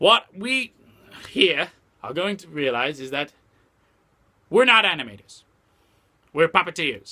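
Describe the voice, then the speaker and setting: A man does a cartoonish character voice at a high pitch and a moderate pace. He leaves long, frequent pauses. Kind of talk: casual talk to camera. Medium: puppet. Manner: ranting, irritated.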